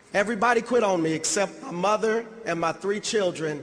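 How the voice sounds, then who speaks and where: A man speaks at a moderate pace, using ordinary pitch variation, against noticeable background noise. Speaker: motivational speaker. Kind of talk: motivational speech.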